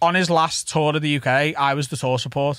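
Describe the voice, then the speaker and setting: A man with a strong Scouse accent speaks in a fairly high pitch with monotone, flat intonation. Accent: thick Scouse. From Liverpool, England. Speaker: stand-up comedian. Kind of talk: casual chat. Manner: fast.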